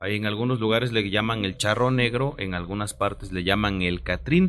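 The background is silent and the recording very clean. A man's pitch sits fairly low. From Mexico, Oaxaca. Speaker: radio co-host. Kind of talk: casual chat.

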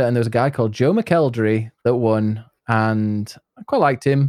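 A man with a Yorkshire accent is heard on a very clean recording with a silent background. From northern England, near Leeds and York. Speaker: streamer and English teacher. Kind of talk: casual chat.

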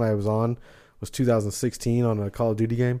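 A man's dark, mellow tone, monotone and flat, at a very fast pace. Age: 40s. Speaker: metal podcast host. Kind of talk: casual interview chat.

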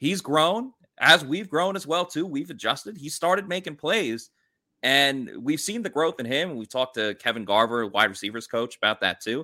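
This man has a bright, sharp tone and a New York accent, with very wide pitch swings. The recording is very clean, with a silent background. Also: fairly high pitch for a man, moderate pace. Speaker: sports podcast host. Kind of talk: casual sports chat.

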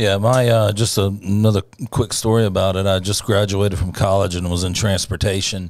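Here is a man with an ordinary speaking voice and a fairly low pitch. He talks at a fairly quick pace with fairly even intonation. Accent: American. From US South. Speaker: political grassroots organizer. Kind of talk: casual political chat.

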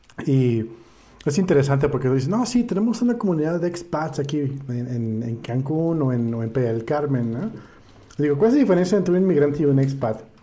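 With a Mexican accent, a man talks at a fairly quick pace in a dark, mellow, somewhat breathy tone, his fairly high pitch carrying lively intonation. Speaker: podcast host. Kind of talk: casual chat. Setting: live stream.

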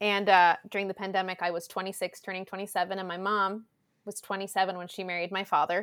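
On a very clean recording with a silent background, a woman with a Southern California accent talks at a very fast pace in a monotone, flat intonation. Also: medium pitch for a woman. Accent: Southern Californian American English. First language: Spanish. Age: 20s. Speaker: actor and content creator. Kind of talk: casual podcast interview. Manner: loud.

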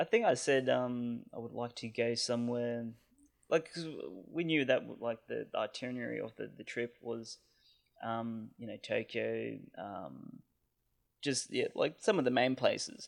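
A man with an Australian accent at a fairly slow pace, with big swings in loudness. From Australia (Canberra). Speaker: podcast listener sharing Japan travel experiences. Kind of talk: casual chat. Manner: halting, many fillers.

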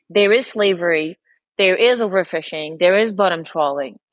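The pace of this woman's speech is moderate. She talks in a Quebec accent. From Quebec, Montreal. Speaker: spearfisher and former lawyer. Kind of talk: podcast interview.

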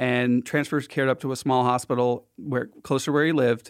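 Fairly quick and fairly high in pitch, a man speaks in an ordinary speaking voice. The recording is very clean, with a silent background. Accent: American. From Philadelphia, US. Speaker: healthcare app founder. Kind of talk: casual interview. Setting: studio.

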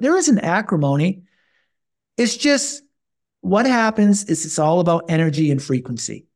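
On a very clean recording with a silent background, a man talks in a high voice with very wide pitch swings. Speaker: health coach and personal trainer. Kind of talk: casual interview. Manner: animated.

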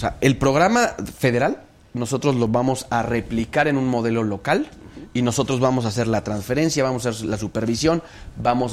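This is an ordinary speaking voice moving at a fairly quick pace with fairly even intonation. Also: man. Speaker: mayor. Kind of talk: interview.

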